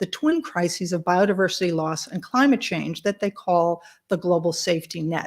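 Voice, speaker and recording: In a very clean recording with a silent background, a woman speaks at a medium pitch and moderate pace in a normal speaking voice with lively intonation. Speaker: tech company presenter. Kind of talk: conference presentation.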